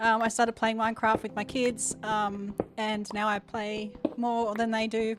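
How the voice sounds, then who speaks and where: Through noticeable background noise, a woman with an Australian accent speaks at a fairly slow pace in a fairly high pitch with monotone, flat intonation. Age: 40s. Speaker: gaming streamer. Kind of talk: live game stream chat. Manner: loud.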